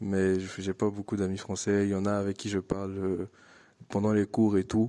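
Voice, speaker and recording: In an Ivorian accent, a man speaks at a moderate pace with a fairly low pitch and a dark, mellow tone, in a monotone, flat intonation. The sound is dry and close with no echo, and the recording is very clean with a silent background. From Ivory Coast. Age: 20s. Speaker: international student. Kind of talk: interview testimony. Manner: hesitant, many fillers and repetitions.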